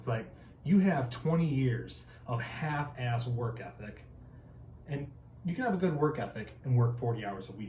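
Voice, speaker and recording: Audible room echo around a man's medium-pitched voice, with an American accent, moderate pace and ordinary pitch variation. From Northern Michigan, rural. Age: 20s. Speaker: tradesman and motivational video host. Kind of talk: motivational talk to camera. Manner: animated.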